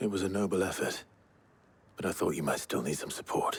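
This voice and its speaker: A put-on character voice from a man, very deep and low in pitch, at a fairly quick pace. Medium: video game. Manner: low-key, terse.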